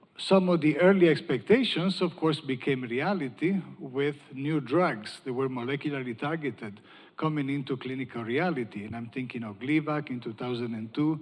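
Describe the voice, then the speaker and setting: An Italian accent marks this man's fairly high-pitched voice. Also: ordinary pitch variation, moderate pace, big swings in loudness. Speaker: panel moderator, cancer researcher. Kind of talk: panel discussion moderation.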